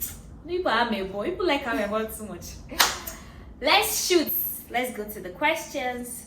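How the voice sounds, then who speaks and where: With a Nigerian accent, a woman speaks at a moderate pace in a high voice with very wide pitch swings, big swings in loudness, long, frequent pauses and noticeable background noise. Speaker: vlogger. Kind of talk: casual Q&A chat.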